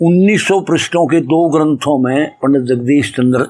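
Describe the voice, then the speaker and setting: A man talks with very wide pitch swings. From Haryana, Jind district. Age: 70s. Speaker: author and poet scholar. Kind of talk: interview. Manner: halting, with fillers and restarts.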